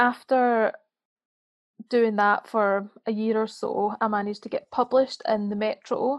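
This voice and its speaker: Fairly high-pitched woman in a Scottish accent, fairly slow and monotone, flat in intonation, with long, frequent pauses. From Scotland. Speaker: freelance writer and author. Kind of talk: casual interview chat.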